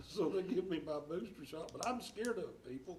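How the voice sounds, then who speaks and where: With an East Tennessee accent, a man speaks in a high pitch with lively intonation, and audible room echo surrounds him. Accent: Southern US (East Tennessee). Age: 70s. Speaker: school board member. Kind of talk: board meeting speech. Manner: halting.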